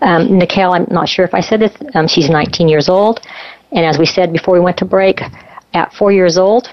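A woman with an ordinary speaking voice talks at a moderate pace in a medium pitch, her loudness very even and her pitch variation ordinary. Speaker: radio co-host. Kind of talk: interview conversation.

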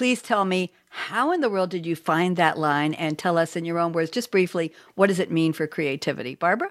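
A woman speaks with a fairly low pitch and ordinary variation. She keeps a fairly quick pace with hardly any pauses. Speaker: radio host. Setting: video call. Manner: animated.

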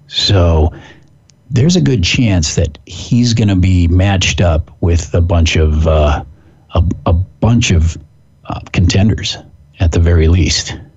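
Over noticeable background noise, a man with an American accent talks at a very slow pace with long, frequent pauses. His very deep, low voice stays very even in loudness. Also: ordinary pitch variation. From US Pacific Northwest. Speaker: fitness expert and podcast host. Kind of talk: casual chat. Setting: phone call.

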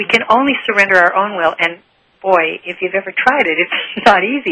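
An ordinary speaking voice, a woman's at medium pitch, moves at a fairly quick pace. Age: 60s. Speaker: author on relationships and spirituality. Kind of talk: interview.

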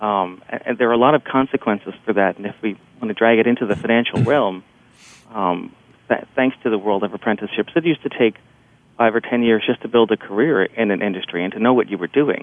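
In an American accent, a man talks at a very fast pace, at medium pitch with ordinary pitch variation. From New Jersey, near New York City. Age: 40s. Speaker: journalist. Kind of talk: radio interview.

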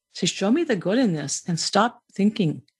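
A somewhat breathy woman with a Maine accent at a moderate pace, over a quiet background. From Maine family roots. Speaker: podcast host, spiritual speaker. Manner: conversational, repetitive, reflective.

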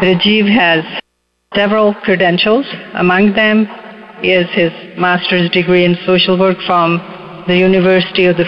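Noticeable background noise sits behind a woman with a fairly low pitch. She speaks at a moderate pace in a monotone, flat intonation. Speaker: radio show co-host. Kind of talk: guest introduction.

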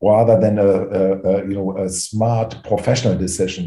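A man talks in a German accent at a fairly low pitch. His tone is dark and mellow and somewhat breathy. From Germany. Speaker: private equity executive. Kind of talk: interview. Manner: halting, many fillers.

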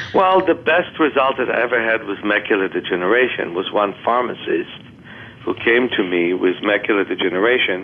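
Noticeable noise fills the background. A man talks at a fairly quick pace and a medium pitch. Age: 60s. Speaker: author and vision therapist. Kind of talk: interview.

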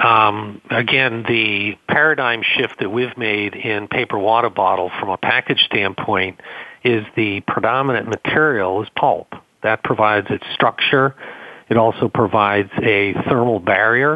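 A man's fairly low voice with an American accent, fairly even intonation and a fairly slow pace. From Boston, US Northeast. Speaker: company co-founder. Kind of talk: radio interview. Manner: hesitant, filler-heavy.

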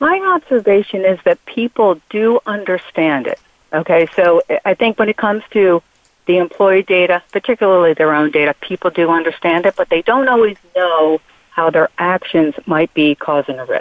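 In a normal speaking voice, a woman talks at a moderate pace and a medium pitch. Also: ordinary pitch variation. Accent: American. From Philadelphia. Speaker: HR consulting practice lead. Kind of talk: panel discussion.

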